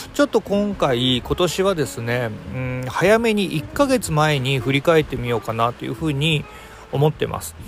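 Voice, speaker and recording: Noticeable background noise sits under a voice at a moderate pace with very wide pitch swings and big swings in loudness. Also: man, fairly high pitch for a man. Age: 40s. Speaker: podcast host. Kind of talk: casual chat.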